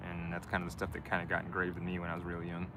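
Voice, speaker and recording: With a Midwestern accent, a man speaks in a relaxed tone and a very deep, low pitch, with audible room echo in the recording. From US Midwest, Michigan. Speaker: live streamer, van dweller. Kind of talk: casual live stream chat. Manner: relaxed, hesitant with fillers.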